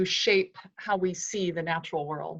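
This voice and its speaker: A woman talks with an American accent at a moderate pace. Her intonation stays fairly even. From US West, California Central Valley. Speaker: author. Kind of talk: interview.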